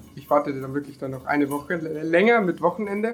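Music plays in the background as a man talks at a very fast pace, his pitch moving in an ordinary way. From Lower Bavaria, Germany (near Deggendorf). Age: 20s. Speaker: van-life traveller, former car painter. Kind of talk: casual interview.

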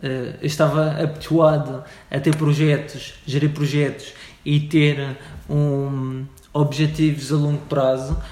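A man's very slow, monotone voice with flat intonation, a dark, mellow tone, some breathiness and audible room echo. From Madeira, Portugal. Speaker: startup organization CEO. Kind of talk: interview. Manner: halting, many fillers.

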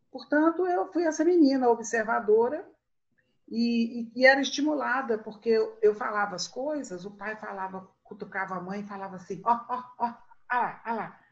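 The loudness swings widely as the fairly slow delivery moves with lively intonation. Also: woman. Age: 60s. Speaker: writer and storyteller. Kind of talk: casual chat.

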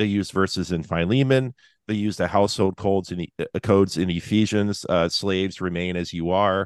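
In an American accent, a man with an unremarkable speaking voice talks at a fairly quick pace and fairly low pitch, his intonation fairly even and the sound dry and close with no echo. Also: quiet background. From Seattle area. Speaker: podcast co-host and occasional preacher. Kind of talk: casual interview.

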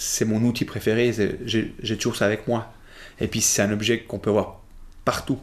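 Man's medium-pitched voice at a moderate pace, flat and monotone, with long, frequent pauses over a very clean recording and a silent background. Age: 40s. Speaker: appliance technician and magician. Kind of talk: interview conversation. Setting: coworking space recording. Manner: halting, many repetitions.

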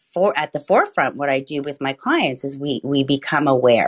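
This woman's voice is very deep and low in pitch, delivered with monotone, flat intonation. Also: dry, close sound with no echo. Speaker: midlife transition coach, host. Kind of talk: presentation. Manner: passionate.

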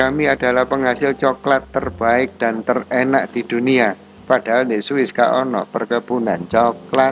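A man at medium pitch and a fairly slow pace, with fairly even intonation and hardly any pauses. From Indonesia, Malang (East Java). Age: 40s. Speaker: businessman and social activist. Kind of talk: interview conversation.

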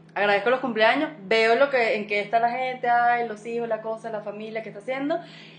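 The speech moves at a fairly quick pace, with hardly any pauses and fairly even intonation. Loudness swings widely against noticeable background noise. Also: woman, fairly high pitch for a woman. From Colombia. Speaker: podcast co-host. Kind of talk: casual chat.

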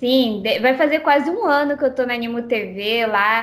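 Pitched high, a woman speaks at a moderate pace with ordinary pitch variation. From Brazilian parents, born in Japan. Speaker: game streamer. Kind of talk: interview. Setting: Skype call.

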